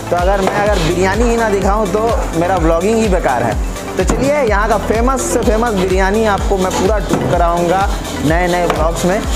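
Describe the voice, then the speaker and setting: Loud background music under a man speaking at a moderate pace. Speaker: food vlogger. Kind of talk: casual vlog chat. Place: shop. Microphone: lapel.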